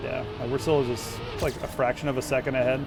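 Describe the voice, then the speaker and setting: An animated man at medium pitch, music playing in the background. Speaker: gaming streamer. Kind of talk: live gameplay commentary. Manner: casual, animated.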